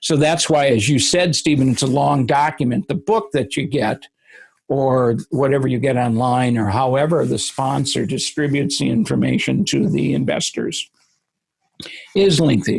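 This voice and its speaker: Speaking at a moderate pace with very even loudness, a man uses a medium pitch, ordinary pitch variation and vocal fry. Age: 70s. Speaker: real estate attorney. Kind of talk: interview.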